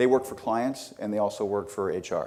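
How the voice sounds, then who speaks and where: A man speaks at a fairly quick pace in a dark, mellow tone. His intonation is fairly even. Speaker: corporate talent development leader. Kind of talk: conference presentation. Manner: fast.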